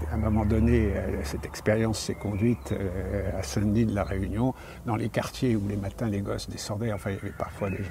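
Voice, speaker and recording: Audible room echo carries a man's fairly low voice at a moderate pace, with ordinary pitch variation. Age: 70s. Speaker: retired school inspector and linguist. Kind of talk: interview. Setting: on location at an ancient theatre. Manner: halting.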